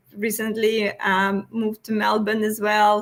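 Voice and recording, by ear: A fairly bright tone with little pitch movement at a fairly slow pace. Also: woman.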